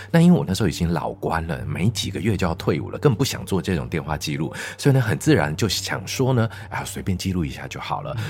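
A man speaks in a dramatic tone at a very fast pace, his very deep, low voice making very wide pitch swings. Noticeable background noise runs underneath. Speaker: teacher and science show host. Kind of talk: storytelling in casual chat. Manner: dramatic storytelling delivery.

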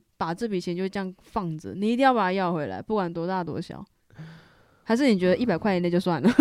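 A woman at a medium pitch, very fast pace and ordinary pitch variation. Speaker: university student, band bandmate. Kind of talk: casual chat.

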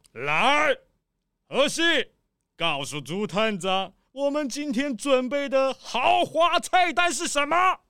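In a put-on character voice, the speaker moves at a slow pace with lively intonation and a clear, smooth, fairly bright tone.

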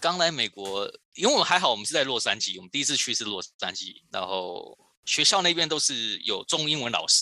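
In a very clean recording with a silent background, a man speaks at a fairly high pitch with a bright, sharp tone, vocal fry and very wide pitch swings. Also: fairly quick pace. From Taiwan, Kaohsiung (southern Taiwan). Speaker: toy designer. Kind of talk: interview. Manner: halting, many fillers.

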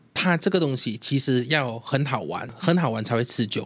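Using an ordinary speaking voice, a man talks at a moderate pace with a medium pitch and ordinary pitch variation. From Malaysia. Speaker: food vlogger. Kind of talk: interview.

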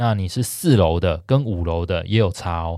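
A man with an unremarkable speaking voice, ordinary pitch variation and a moderate pace, on a very clean recording with a silent background. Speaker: real estate podcast host. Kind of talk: casual chat.

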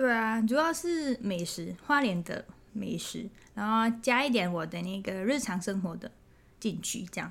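Somewhat breathy speech at a fairly slow pace, with lively intonation and a Thai accent. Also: woman, fairly high pitch for a woman. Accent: non-native Mandarin, Thai-accented. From Thailand. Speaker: food photographer and influencer. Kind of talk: casual interview. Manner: hesitant, many fillers.

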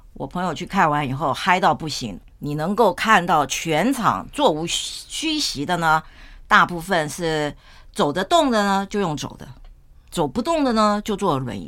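On a very clean recording with a silent background, a woman with a fairly low pitch speaks fairly slowly in an animated tone, with very wide pitch swings and big swings in loudness. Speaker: podcast host. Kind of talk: casual chat.

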